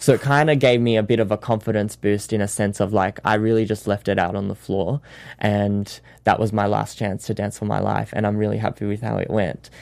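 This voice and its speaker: With an Australian accent, a man speaks at a fairly quick pace in a fairly low pitch and fairly even intonation. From Sydney, Australia. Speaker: dancer and actor.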